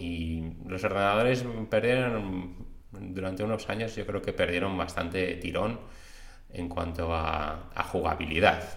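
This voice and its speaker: A man speaks in a very deep, low voice at a fairly slow pace. Noticeable background noise and audible room echo fill the recording. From Spain, Madrid. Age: 40s. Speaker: podcast host, aspiring webmaster. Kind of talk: casual personal monologue.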